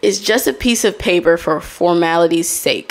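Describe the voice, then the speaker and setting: At a fairly slow pace, a woman speaks with a fairly low pitch. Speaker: podcast host. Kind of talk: solo podcast monologue, casual chat with audience. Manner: casual, conversational. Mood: candid, advising. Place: home room. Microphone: studio mic.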